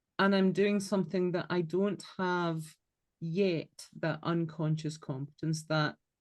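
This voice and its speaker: Someone with a Scottish accent speaks at a fairly slow pace in a monotone, flat intonation. The loudness stays very even against a quiet background. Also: woman, fairly low pitch for a woman. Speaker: podcast co-host. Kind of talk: casual chat.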